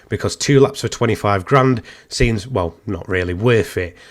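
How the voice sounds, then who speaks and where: A man in an English accent, with ordinary pitch variation. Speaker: gaming YouTuber. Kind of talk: gaming commentary video. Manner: casual, with many fillers.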